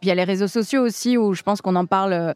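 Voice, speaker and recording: With a dry, close sound and no echo, a woman speaks at a medium pitch with ordinary pitch variation. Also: very clean recording, silent background. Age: 30s. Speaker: stand-up comedian. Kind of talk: interview. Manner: halting.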